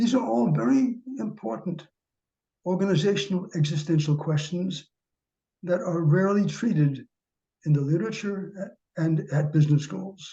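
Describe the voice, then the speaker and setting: With an American accent, a man speaks at a moderate pace, leaving long, frequent pauses. His voice is high for a man, with a dark, mellow tone and lively intonation. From US Northeast, New York City. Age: 80s+. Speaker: professor. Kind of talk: lecture.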